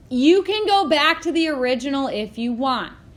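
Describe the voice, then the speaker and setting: A woman's voice with audible room echo. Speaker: math teacher. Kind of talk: classroom lecture. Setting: classroom with students. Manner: halting.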